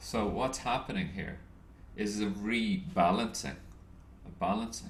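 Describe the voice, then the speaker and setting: Audible room echo surrounds a man with an American accent who speaks at a fairly slow pace. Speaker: trading educator. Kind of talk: lecture. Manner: halting.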